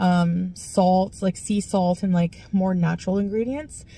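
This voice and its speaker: A woman's dark, mellow voice comes through somewhat breathy, with a dry sound and no echo. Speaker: vlogger. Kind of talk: casual vlog chat. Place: car. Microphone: phone near.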